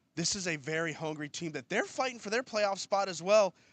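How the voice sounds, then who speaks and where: The sound is dry and close with no echo as a man talks at a moderate pace with lively intonation. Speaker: PA announcer and co-host. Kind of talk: sports broadcast preview discussion.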